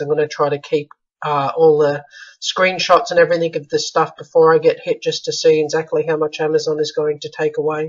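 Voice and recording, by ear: The voice sounds strained. There is little pitch movement. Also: man.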